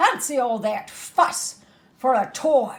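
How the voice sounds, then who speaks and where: A woman's put-on character voice, high-pitched and growling, with lively intonation at a fairly slow pace. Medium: read story. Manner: brisk, grumbling.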